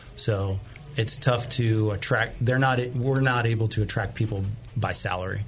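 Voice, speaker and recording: The voice moves at a moderate pace with very even loudness and fairly even intonation over noticeable background noise. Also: man, medium pitch for a man. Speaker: brewer. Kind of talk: casual interview. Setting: studio. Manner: soft-spoken.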